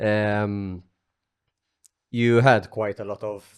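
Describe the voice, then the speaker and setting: A man in a Maltese accent speaks with a fairly low pitch over a quiet background. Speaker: podcast host. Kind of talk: casual chat.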